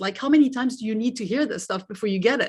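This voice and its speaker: Speaking very fast in a French accent, a woman with a fairly high, somewhat breathy voice shows ordinary pitch variation. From France. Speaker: life coach. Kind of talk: interview.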